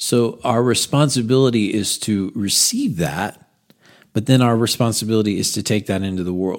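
A man with an American accent uses a normal speaking voice, a moderate pace and ordinary pitch variation, recorded very cleanly over a silent background. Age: 40s. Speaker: pastor. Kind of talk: sermon recap podcast.

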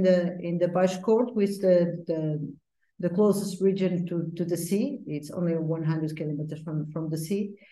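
A woman talks at a fairly slow pace. Her tone is dark and mellow. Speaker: port wine master blender. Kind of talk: interview.

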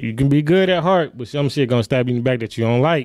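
With an American accent, a man speaks at a fairly quick pace in a plain, everyday voice of medium pitch and ordinary pitch variation. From Milwaukee, Wisconsin. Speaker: clothing designer. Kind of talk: casual interview.

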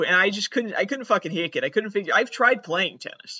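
An American accent from a man whose pitch varies in an ordinary way. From Massachusetts. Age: 20s. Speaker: comedian. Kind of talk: comedic monologue.

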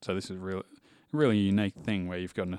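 With an Australian accent, a man talks very fast at a very deep, low pitch and fairly even intonation, sounding dry and close with no echo on a very clean recording with a silent background. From Western Australia. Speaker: livestock export manager. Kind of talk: interview.

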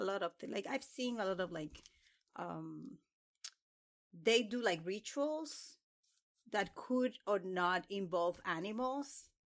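A woman with a Spanish accent, speaking at a fairly slow pace. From Dominican Republic. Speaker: PhD student in religion. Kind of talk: casual academic discussion.

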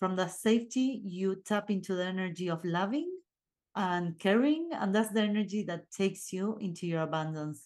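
Moderate pace and ordinary pitch variation in an Argentine accent, over a quiet background. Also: woman, medium pitch for a woman. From Argentina. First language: Spanish. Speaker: podcast host and life coach. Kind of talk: solo motivational talk. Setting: video recording. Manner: casual, with filler sounds.

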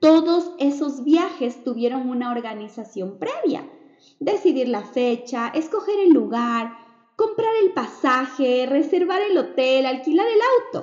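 A woman's high voice with very wide pitch swings at a fairly slow pace, over noticeable background noise. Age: 30s. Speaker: podcast host, digital entrepreneur. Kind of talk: motivational monologue.

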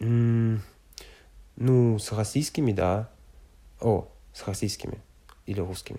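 With a French accent and a dark, mellow tone, a man speaks very slowly at medium pitch with fairly even intonation and long, frequent pauses, in a very clean recording with a silent background. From France, Loire valley. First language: French (speaking Russian). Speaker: exchange student. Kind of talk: interview. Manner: halting, many fillers.

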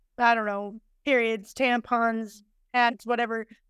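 On a very clean recording with a silent background, a woman with an unremarkable speaking voice talks at a fairly slow pace and a fairly high pitch. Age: 30s. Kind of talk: casual interview chat.

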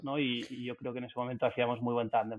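The speaker is a man with a medium-pitched voice. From Barcelona, Spain. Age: 30s. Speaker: restaurant group founder. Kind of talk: interview. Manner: halting, many repetitions.

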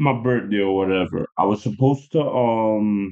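An ordinary speaking voice from a man, medium in pitch, with ordinary pitch variation at a moderate pace. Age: 30s. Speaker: guest. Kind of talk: casual chat. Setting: studio.

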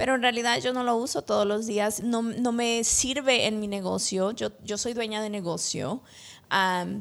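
Very clean, silent-background audio of a female speaker, fairly slow in pace. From El Salvador, moved to US at 13. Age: 30s. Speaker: insurance agent. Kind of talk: interview testimony. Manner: hesitant, many fillers.

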